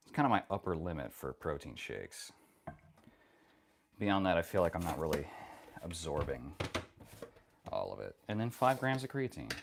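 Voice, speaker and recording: The soft-spoken voice moves at a moderate pace with long, frequent pauses and very wide swings in pitch. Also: man, very deep, low pitch for a man. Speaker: livestreamer. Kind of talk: casual livestream chat.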